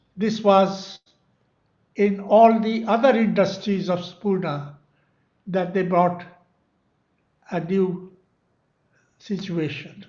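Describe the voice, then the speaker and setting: A high-pitched man speaks at a very slow pace with long, frequent pauses. His intonation is fairly even, and the room echo is audible. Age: 90s. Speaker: memoir author. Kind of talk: speech.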